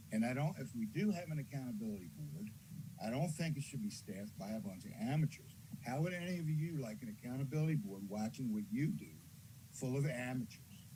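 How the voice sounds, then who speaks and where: This man's somewhat breathy voice has a dark, mellow tone and a medium pitch. He talks at a fairly quick pace with lively intonation. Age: 70s. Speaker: caller. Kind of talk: public comment. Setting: Zoom call.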